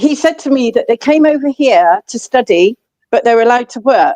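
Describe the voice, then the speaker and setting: A woman with an English accent, high-pitched, with lively intonation. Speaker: livestream host. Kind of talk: casual chat.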